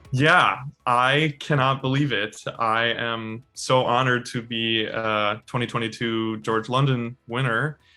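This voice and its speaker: With music in the background, a man speaks at a fairly slow pace and medium pitch, his intonation fairly even. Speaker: opera singer, baritone. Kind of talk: interview answer. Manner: hesitant, casual, with filler words.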